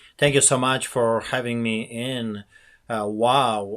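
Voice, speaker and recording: A man with a Polish accent speaks at a medium pitch and a fairly slow pace with fairly even intonation, on a very clean recording with a silent background. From Poland. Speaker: pastor. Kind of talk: interview.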